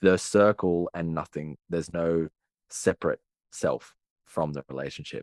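In a dry, close recording with no echo, a man with a very deep, low pitch speaks with an Australian accent. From Australia, Sydney. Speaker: relationship and attachment coach. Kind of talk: casual interview conversation.

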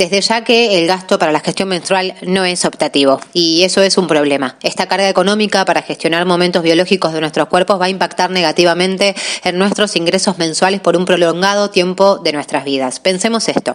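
This is an ordinary speaking voice at a fairly quick pace. Its loudness stays very even, and the intonation is fairly even. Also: woman, medium pitch for a woman. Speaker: law student. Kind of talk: scripted narration.

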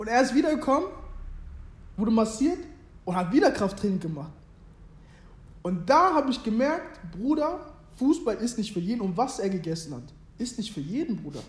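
A man speaks at an extremely high pitch with very wide pitch swings. Long, frequent pauses break up his speech amid audible room echo. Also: moderate pace. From Germany, Hannover. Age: 20s. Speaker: former youth footballer and clothing brand founder. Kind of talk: casual interview chat.

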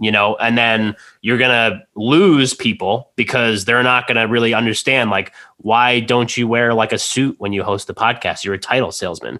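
A medium-pitched man with a bright, sharp tone, fairly even intonation and a moderate pace. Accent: American. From New Jersey. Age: 30s. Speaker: podcast host. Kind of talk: casual chat. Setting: studio.

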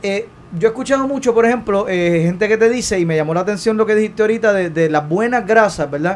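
A man speaks very fast in an animated tone. His pitch is high, with ordinary variation. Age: 30s. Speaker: talk show host. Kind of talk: live call-in interview show.

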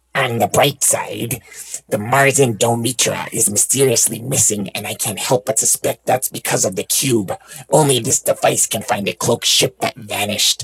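A man speaks in a put-on character voice that sounds raspy. His pitch is medium and his pace moderate. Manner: urgent, scheming.

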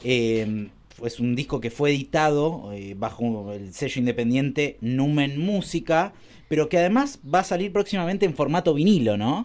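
With a Rioplatense accent, a man speaks at a moderate pace in a fairly high voice that makes very wide pitch swings, on a very clean recording with a silent background. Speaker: radio host. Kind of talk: radio interview.

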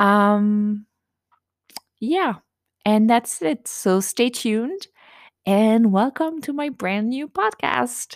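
In a French accent, a woman speaks very slowly with long, frequent pauses at a fairly high pitch. Her ordinary pitch variation is heard in a dry, close sound with no echo. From France. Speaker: self-published author and podcaster. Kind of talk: casual podcast intro monologue. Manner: informal, with fillers and laughter.

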